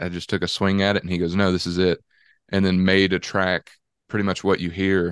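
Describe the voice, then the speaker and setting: A man's very deep, low voice with a Southern US accent, monotone and flat, at a fairly quick pace, dry and close with no echo over a quiet background. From Georgia, US South. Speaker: country singer-songwriter. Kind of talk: casual chat. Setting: video call.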